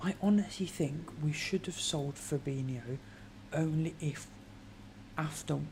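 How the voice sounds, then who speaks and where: A woman whispers with a British accent, somewhat breathy. She moves at a fairly slow pace with long, frequent pauses. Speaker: football fan streamer. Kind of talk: casual chat. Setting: live stream at home. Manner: whispering.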